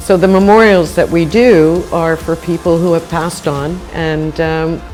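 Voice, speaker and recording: With music in the background, a woman with an American accent speaks at a fairly slow pace. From United States. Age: 60s. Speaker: coral reef restorer. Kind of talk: interview answer.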